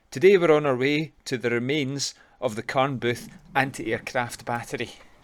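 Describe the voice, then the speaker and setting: A man speaks at a moderate pace with a Glaswegian accent. His pitch is medium, with ordinary variation. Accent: Glaswegian Scottish. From Glasgow, Scotland. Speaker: local history video presenter. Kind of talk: documentary narration.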